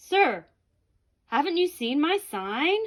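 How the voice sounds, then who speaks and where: A woman uses a put-on character voice at a high pitch with very wide pitch swings. The recording is very clean, with a silent background. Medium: read story.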